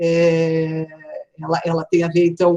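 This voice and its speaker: Very slowly, a woman speaks at a medium pitch. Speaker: film critics' association leader. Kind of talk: live online panel talk. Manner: hesitant, many fillers.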